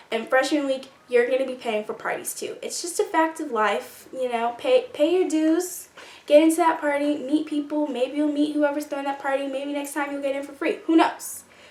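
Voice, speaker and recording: A woman's high voice with ordinary pitch variation, hardly any pauses, and noticeable background noise. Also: moderate pace. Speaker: YouTuber, college student. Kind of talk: casual vlog advice.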